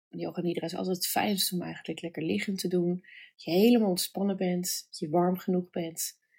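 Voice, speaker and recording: An unremarkable speaking voice with fairly even intonation, captured in a very clean recording against a silent background. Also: woman. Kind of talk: guided meditation. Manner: slow, soft and soothing, with long pauses; gentle, calm, warm.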